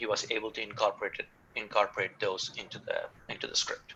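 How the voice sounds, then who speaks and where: A man with an Indian accent speaks at a moderate pace. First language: not English, Indian language. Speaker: film writer and director. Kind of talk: interview. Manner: halting, many fillers.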